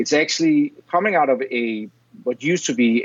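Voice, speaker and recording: A man with a Danish accent. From Denmark. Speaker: software educator, former mold maker. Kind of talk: interview.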